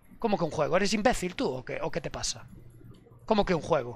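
A man at a very fast pace, dry sound with no echo. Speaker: streamer. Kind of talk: casual stream rant. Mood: mock-angry, heated rant. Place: home room. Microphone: headset.

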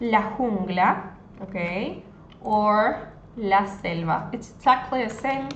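Against audible room echo and light background noise, a woman speaks very slowly at a fairly high pitch with ordinary pitch variation. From Argentina. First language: Spanish. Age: 20s. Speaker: Spanish tutor. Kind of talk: live online language lesson. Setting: livestream on social media. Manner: code-switching between Spanish and English. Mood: friendly, warm. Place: home room. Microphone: phone near.

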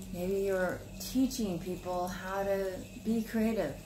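A woman talks at a slow pace in a medium pitch while music plays clearly in the background.

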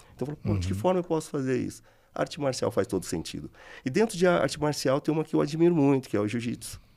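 A man with a dark, mellow tone, very wide pitch swings and a very fast pace. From Taubaté, interior of São Paulo state, Brazil. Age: 40s. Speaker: business manager and martial arts gym co-founder. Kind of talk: casual chat. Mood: relaxed, reflective. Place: studio. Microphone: studio mic.

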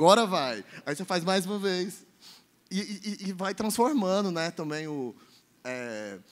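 A man with a high pitch and lively intonation talks fairly slowly, stopping often for long pauses. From Minas Gerais, raised partly in Goiânia. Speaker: festival producer; panelist. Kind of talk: panel discussion. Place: hall. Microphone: handheld.

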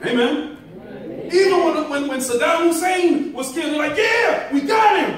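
An animated man with an extremely high pitch, ordinary pitch variation and a moderate pace, plus audible room echo and light background noise. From Jamaica. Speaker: preacher. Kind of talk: sermon. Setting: church. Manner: animated, call-and-response with congregation; rising preacher in full flow, rhythmic, emphatic, punctuated by amens. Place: church. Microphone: camera far.

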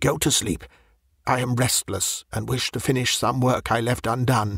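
Using a put-on character voice, a man speaks hoarsely at medium pitch and a moderate pace. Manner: strange, restless.

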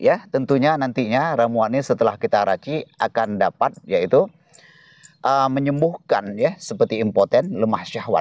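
With very wide pitch swings but very even loudness, a man speaks at a moderate pace in a fairly high pitch. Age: old. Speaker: herbal remedy seller. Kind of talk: tutorial. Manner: hesitant filler-heavy.

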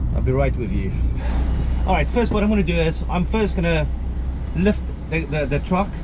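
Over noticeable background noise, a man talks fairly quickly in a very deep, low voice with monotone, flat intonation. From South Africa. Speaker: HGV lorry driver. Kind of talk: casual vlog talk to camera. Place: car. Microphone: phone near.

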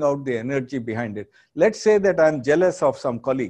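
Against a quiet background, a man speaks with a dark, mellow tone, fairly high pitch and lively intonation. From India, Andhra Pradesh. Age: 60s. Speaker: business school professor. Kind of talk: lecture. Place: studio. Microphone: lapel.

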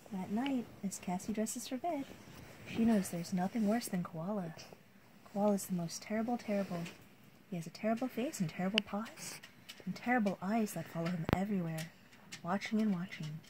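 Over noticeable background noise, a woman with a medium pitch and ordinary pitch variation talks at a fairly quick pace, broken by long, frequent pauses. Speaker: storybook reader. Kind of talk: bedtime story reading aloud. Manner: animated, expressive, playful. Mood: calm bedtime storytelling. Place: home room. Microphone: phone near.

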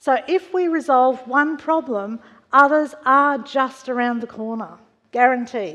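Against a quiet background, a woman speaks with a high pitch and ordinary pitch variation. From Australia, western Sydney. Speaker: church member sharing testimony; preacher. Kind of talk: testimony. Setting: church. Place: church.

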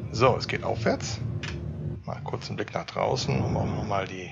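Loud background noise surrounds a man as he talks. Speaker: gamer. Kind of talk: casual let's-play commentary.

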